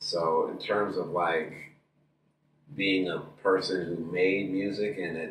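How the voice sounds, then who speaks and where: The man's delivery is very slow. The room around him has an audible echo. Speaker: musician and MC. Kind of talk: casual interview chat. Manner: loud, projecting.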